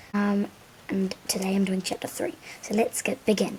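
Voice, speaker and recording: Music can be heard in the background as a woman talks. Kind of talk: children's book read-aloud. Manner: halting, with frequent stumbles and self-corrections.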